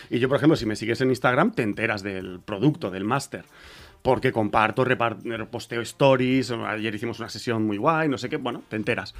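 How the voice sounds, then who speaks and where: Using an ordinary speaking voice, a man has a medium pitch. He moves fairly quickly, and his pitch varies in an ordinary way. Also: very clean recording, silent background. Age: 40s. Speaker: rapper and music producer. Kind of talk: casual interview.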